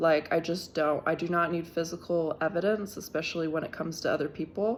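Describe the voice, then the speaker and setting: Soft-spoken, a woman talks at a moderate pace in a fairly low voice with fairly even intonation. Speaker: tarot reader. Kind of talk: tarot reading. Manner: halting.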